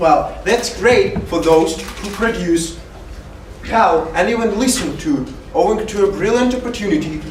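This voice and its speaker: With a Russian accent, a man speaks at a fairly slow pace with ordinary pitch variation, over noticeable background noise and audible room echo. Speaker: university student speaker. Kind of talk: prepared talk to an audience. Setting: stage with audience.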